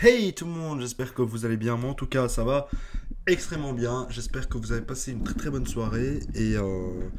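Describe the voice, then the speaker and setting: A man talks at a medium pitch. Audible room echo and noticeable background noise fill the recording. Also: ordinary pitch variation, moderate pace. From not from France, French-speaking. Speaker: YouTuber, political commentator. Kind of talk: casual commentary vlog. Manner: stutters, halting with many fillers.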